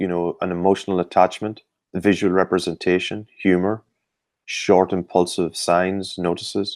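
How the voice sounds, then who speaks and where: In a very clean recording with a silent background, a man with an Irish accent talks at a moderate pace in a very deep, low pitch. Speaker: sports performance expert. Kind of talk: interview. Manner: hesitant, many fillers.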